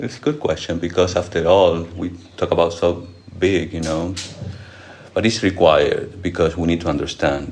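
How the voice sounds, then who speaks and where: A man's very deep, low voice at a moderate pace, with ordinary pitch variation, audible room echo, and noticeable background noise. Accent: non-native. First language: not English. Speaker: monk and spiritual teacher. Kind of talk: lecture with audience Q&A. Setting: monastery lecture hall with audience.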